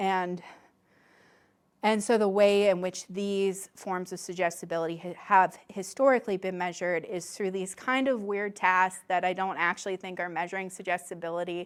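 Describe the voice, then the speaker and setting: With a normal speaking voice, a woman talks at medium pitch and a moderate pace with fairly even intonation, in a very clean recording with a silent background. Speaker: academic researcher giving a talk. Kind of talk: lecture.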